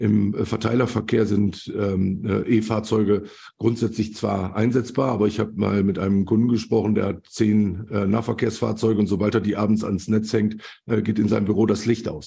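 A man with a dark, mellow tone speaks at a moderate pace, somewhat breathy, with monotone, flat intonation and very even loudness. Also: fairly low pitch for a man. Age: 50s. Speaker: logistics expert and network founder. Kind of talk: interview.

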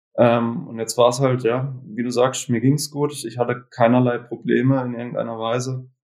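The man speaks at a moderate pace and medium pitch. His intonation is flat and monotone, with hardly any pauses. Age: 20s. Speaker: cancer survivor. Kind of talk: interview.

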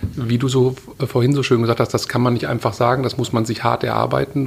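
A man with an unremarkable speaking voice talks at a fairly quick pace. His pitch is medium, and his intonation is fairly even. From Ruhr area, Germany (Witten). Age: 40s. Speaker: media executive. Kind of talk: interview.

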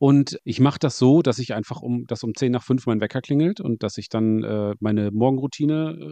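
In a dry, close sound with no echo, a man with a dark, mellow tone and medium pitch talks at a moderate pace with lively intonation. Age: 40s. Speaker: podcast host. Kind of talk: casual interview chat.

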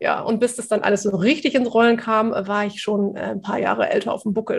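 A woman's somewhat breathy, fairly high voice at a fairly quick pace with fairly even intonation. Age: 40s. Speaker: communication and quick-wit trainer. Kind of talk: interview.

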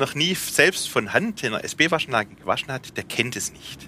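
A man with a slight Swabian accent and very wide pitch swings. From Swabia, Remstal (southwest Germany). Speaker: company managing director. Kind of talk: explanatory on-site interview.

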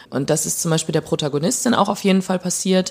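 The voice belongs to a woman with a fairly low pitch. Her pitch variation is ordinary. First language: Plautdietsch (speaking German). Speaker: novelist. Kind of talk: interview.

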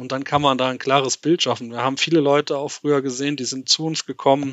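A man speaks with a fairly high pitch. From Germany, Westerwald. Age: 30s. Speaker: private markets finance professional. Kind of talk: casual interview.

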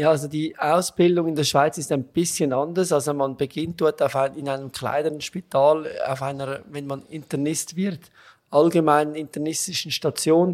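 At a moderate pace, a man with a Swiss accent speaks in a fairly high, flat monotone. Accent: noticeable Swiss. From Switzerland. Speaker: gastroenterologist. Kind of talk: interview.

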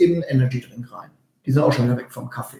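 The voice has a dark, mellow tone. It moves at a very fast pace with ordinary pitch variation. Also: man. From Westphalia. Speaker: nutrition consultant and speaker. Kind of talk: casual chat. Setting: video recording with live viewers.

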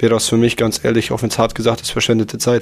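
At a very fast pace, a man talks at medium pitch in a monotone, flat intonation. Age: 20s. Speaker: host's boyfriend. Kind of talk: casual chat.

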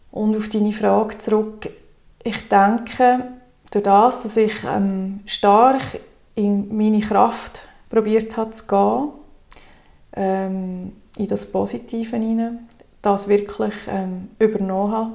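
A woman speaks very slowly, with long, frequent pauses, in a monotone, flat delivery. Her pitch sits fairly high and her tone is dark and mellow. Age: 30s. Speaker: wellbeing coach. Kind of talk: interview.

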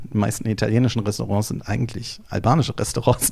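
A dark, mellow tone at a very fast pace. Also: man. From Berlin, Germany. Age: 40s. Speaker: entrepreneur, travel deals platform founder. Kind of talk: interview. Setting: studio. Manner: hesitant with filler sounds.

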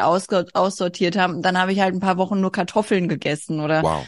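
A woman talks at a fairly quick pace in a medium pitch. Her intonation is monotone and flat, against a quiet background. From Hesse, Germany (rural). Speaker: artist. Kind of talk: casual interview. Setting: video call.

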